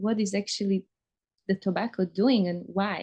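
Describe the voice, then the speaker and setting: Over a quiet background, a woman talks at a fairly slow pace. Her pitch is medium and her intonation fairly even. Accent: non-native. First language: not English. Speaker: interviewer. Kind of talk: casual conversation, personal story.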